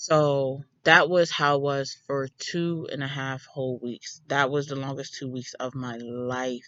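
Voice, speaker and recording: A very deep, low woman's voice, fairly slow and with hardly any pauses, fairly even in intonation but with big swings in loudness. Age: 20s. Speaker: mom vlogger. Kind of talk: casual storytime talk to camera.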